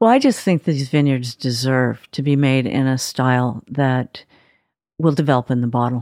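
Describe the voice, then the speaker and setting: In an American accent, a woman speaks at a moderate pace with very deep, low pitch and fairly even intonation, in a dry, close sound with no echo. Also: very clean recording, silent background. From Southern California. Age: 60s. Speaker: winemaker. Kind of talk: interview.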